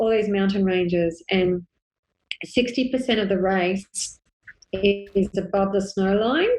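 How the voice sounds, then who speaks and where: Medium in pitch, a woman talks with an Australian accent. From Australia (Sydney). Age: 40s. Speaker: ultra endurance runner and running coach. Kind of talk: casual interview chat.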